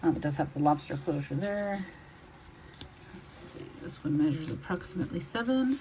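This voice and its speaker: With an American accent, a woman speaks in a somewhat breathy, dark, mellow voice pitched fairly low. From Texas. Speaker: online reseller. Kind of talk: product showcase video. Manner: casual, with fillers.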